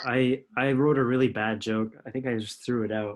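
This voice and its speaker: The speaker has an unremarkable speaking voice and moves at a moderate pace. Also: man. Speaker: podcast host. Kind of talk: podcast interview questions.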